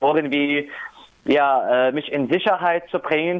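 This man's voice sits fairly high for a man, with fairly even intonation. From Syria. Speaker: refugee rights activist. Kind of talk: interview. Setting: phone call. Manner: hesitant, many fillers.

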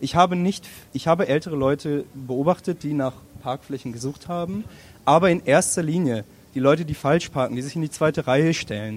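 The speaker has a plain, everyday voice with ordinary pitch variation. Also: man, fairly high pitch for a man, fairly quick pace. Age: 20s. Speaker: student who did a traffic study. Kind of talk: public panel discussion.

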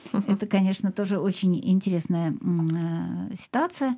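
In a very clean recording with a silent background, a woman speaks at a medium pitch and a fairly slow pace with a dark, mellow tone. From Russia, Moscow. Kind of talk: radio show. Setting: studio.

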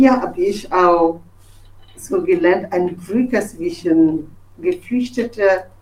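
A woman with a fairly high voice swings her pitch very widely as she talks. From Togo. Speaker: journalist. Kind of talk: personal testimony. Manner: halting, with fillers and restarts.

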